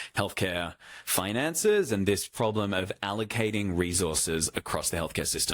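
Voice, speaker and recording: Speech comes at a moderate pace. The recording is very clean, with a silent background. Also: man. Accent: Australian. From Australia. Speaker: healthcare AI executive, former doctor. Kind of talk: fireside chat with audience. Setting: stage with audience. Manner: hesitant, repeats words; rambling, casual.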